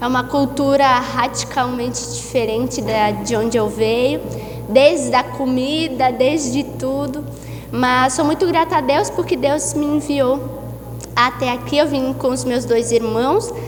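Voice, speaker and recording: Speech in a southern Brazilian accent comes at a fairly slow pace, with music in the background and audible room echo. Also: woman. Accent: gaúcho (southern Brazilian). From southern Brazil, Santa Maria, Rio Grande do Sul. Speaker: guest preacher. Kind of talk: sermon. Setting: church service.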